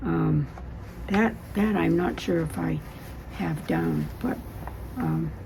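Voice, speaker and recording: A woman with an American accent speaks at a very slow pace with long, frequent pauses, amid audible room echo and noticeable background noise. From New Hampshire, US. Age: 90s. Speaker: oral history interviewee. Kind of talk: oral history interview; reading aloud from own written memoir. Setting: public library. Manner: halting.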